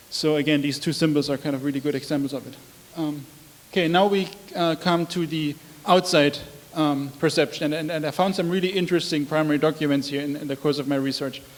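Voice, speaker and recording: Through noticeable background noise, a man with a German accent talks at a very fast pace, his pitch fairly high and his intonation fairly even. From Germany. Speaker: researcher. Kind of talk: lecture. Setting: public talk with projector. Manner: halting, many fillers.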